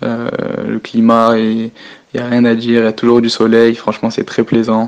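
At a moderate pace, a man with a medium pitch speaks in a monotone, flat way. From northern France, Picardy. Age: 20s. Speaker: professional footballer. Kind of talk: phone interview. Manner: halting.

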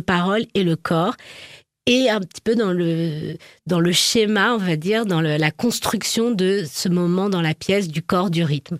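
A woman's medium-pitched voice with ordinary pitch variation, dry and close with no echo, on a very clean recording with a silent background. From France, Charente. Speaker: dancer and choreographer. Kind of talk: interview. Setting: studio. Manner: halting.

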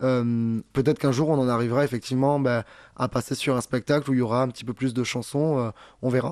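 Against a quiet background, a man talks at a very fast pace and medium pitch with fairly even intonation, the sound dry and close with no echo. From southern France. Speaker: comedian and singer. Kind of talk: interview.

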